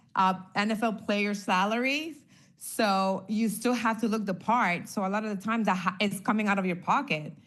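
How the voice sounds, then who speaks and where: A woman's medium-pitched voice at a moderate pace, ordinary pitch variation, with audible room echo. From Honduras. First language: Spanish. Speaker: former NFL cheerleader. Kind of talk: casual interview.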